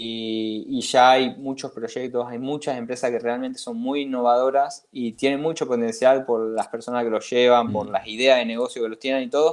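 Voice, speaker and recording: A man at medium pitch, moderate pace, hardly any pauses, and monotone, flat intonation. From Catalonia, Spain until 15, then Argentina. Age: young. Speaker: investor, finance enthusiast. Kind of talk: interview conversation. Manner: halting, many fillers.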